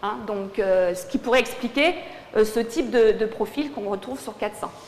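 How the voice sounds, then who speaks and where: Fairly high female voice at a moderate pace, with noticeable background noise. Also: ordinary pitch variation. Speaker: sports physiologist. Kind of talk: lecture. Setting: conference hall with audience.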